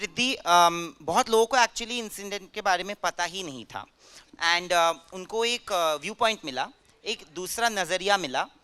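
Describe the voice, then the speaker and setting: In a raised, projected voice, a man speaks at a high pitch with a bright, sharp tone and big swings in loudness, the sound dry and close with no echo. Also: ordinary pitch variation. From Bengal, India. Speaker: interviewer. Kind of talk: interview at film festival.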